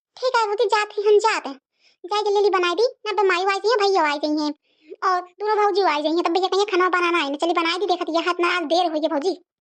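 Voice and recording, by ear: A woman does a cartoonish character voice at an extremely high pitch. She talks very fast.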